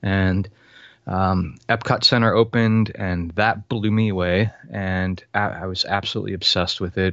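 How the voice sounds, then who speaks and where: Delivered at a moderate pace, a normal speaking voice comes through with an American accent. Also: man. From Florida. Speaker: author and filmmaker. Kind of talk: casual interview chat.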